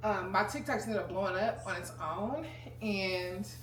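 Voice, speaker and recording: A woman talks at a fairly slow pace in a serious tone. Noticeable background noise and audible room echo sit behind her. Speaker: lifestyle vlogger. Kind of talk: casual chat. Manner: serious-sounding.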